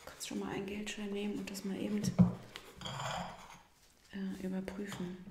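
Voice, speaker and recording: Soft-spoken whispering at a fairly slow pace, with noticeable background noise. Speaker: investigator in role-play. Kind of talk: ASMR role-play, quiet conversational talk. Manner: whispered, soft-spoken. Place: studio.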